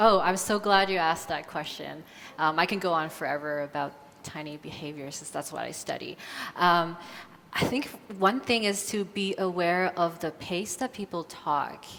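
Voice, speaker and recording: Big swings in loudness run through this woman's speech. Her pitch is fairly low, with ordinary variation. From China and Canada. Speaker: conference speaker. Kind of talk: audience Q&A. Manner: slow, with long pauses.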